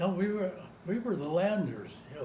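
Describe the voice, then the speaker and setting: A dark, mellow tone at a moderate pace, with audible room echo. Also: man. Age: 90s. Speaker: war veteran. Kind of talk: oral history interview.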